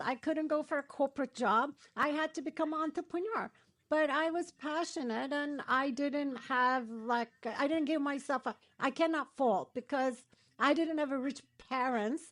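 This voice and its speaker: A woman with a high pitch and a Turkish accent speaks at a moderate pace. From Turkey. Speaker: matchmaker and dating coach. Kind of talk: interview.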